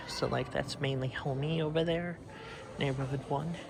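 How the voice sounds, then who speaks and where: Noticeable background noise lies under speech at a moderate pace. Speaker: mall explorer vlogger. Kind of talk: casual walking tour narration. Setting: indoors in a near-empty mall.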